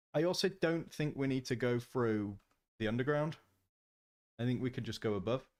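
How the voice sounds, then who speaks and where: A man with a Birmingham accent speaks at a moderate pace and medium pitch, leaving long, frequent pauses. The recording is very clean, with a silent background. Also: ordinary pitch variation. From Birmingham, England. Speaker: gaming streamer. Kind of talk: live stream gameplay commentary. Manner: animated.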